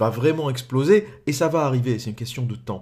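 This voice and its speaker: A man speaks at medium pitch with a dark, mellow tone, somewhat breathy, and with ordinary pitch variation. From France. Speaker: political commentator. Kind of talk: monologue commentary.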